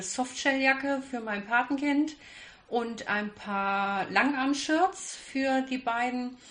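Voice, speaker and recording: Noticeable background noise sits behind a woman's voice. She speaks very slowly at a high pitch. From Kassel, Germany. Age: 30s. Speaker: hobby sewist. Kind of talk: casual interview. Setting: sewing weekend retreat.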